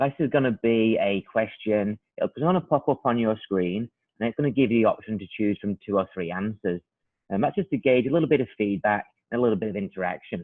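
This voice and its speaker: This man has a British accent and a medium pitch. He speaks at a fairly quick pace with ordinary pitch variation. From UK. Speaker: product trainer. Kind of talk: webinar presentation. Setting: online webinar.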